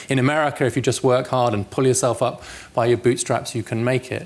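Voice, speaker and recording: A man with a British accent and a medium pitch. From England. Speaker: policy researcher and author. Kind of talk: public lecture. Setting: lecture hall with audience.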